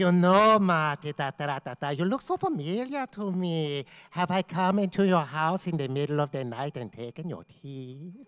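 A sing-song put-on character voice at a middle pitch and moderate pace, with hardly any pauses. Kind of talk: comic character voice. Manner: singsong, humming filler.

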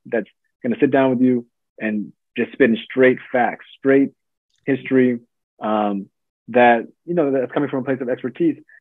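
Long, frequent pauses break a moderate pace with fairly even intonation, in a dry sound with no echo and a quiet background. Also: man. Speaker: guest sociology professor. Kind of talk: interview answer. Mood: thoughtful, hopeful. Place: home room. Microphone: video call.

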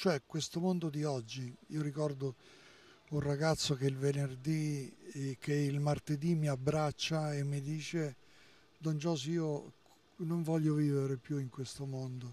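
Recorded dry with no echo, a man speaks at a fairly slow pace in a monotone, flat intonation. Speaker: priest. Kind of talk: interview. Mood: earnest, reflective. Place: street. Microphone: handheld.

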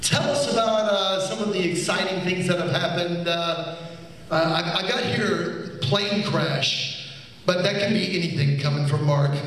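Strong room echo surrounds a man speaking at a moderate pace in a high voice. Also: ordinary pitch variation. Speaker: magician and interviewer. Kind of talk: on-stage interview questions. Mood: warm, admiring. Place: stage.

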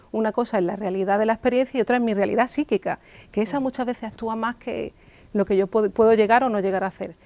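A woman talks at a very fast pace in a fairly high pitch, her dark, mellow tone held to fairly even intonation. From Spain. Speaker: psychoanalyst; guest. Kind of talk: interview on local TV talk show. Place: studio. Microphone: lapel.

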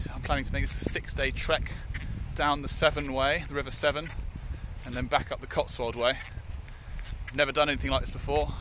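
A man at a very fast pace, dry sound with no echo, noticeable background noise underneath. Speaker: hiker vlogger. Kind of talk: casual vlog chat. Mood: hopeful, gently excited. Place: open country. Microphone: phone near.

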